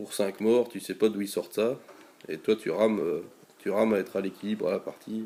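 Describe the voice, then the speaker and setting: A man with a Belgian accent at a fairly quick pace. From Belgium. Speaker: gaming YouTuber. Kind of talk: gameplay commentary. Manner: casual, many hesitations (euh).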